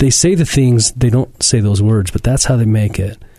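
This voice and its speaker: This man's medium-pitched voice is somewhat breathy, with a dark, mellow tone and ordinary pitch variation. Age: 40s. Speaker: fitness podcast host and gym owner. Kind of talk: casual interview. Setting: studio.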